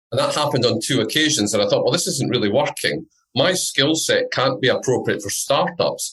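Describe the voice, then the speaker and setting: This voice carries a Scottish accent. The pace is fairly quick. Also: man. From Scotland. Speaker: entrepreneur and business network founder. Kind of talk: podcast interview.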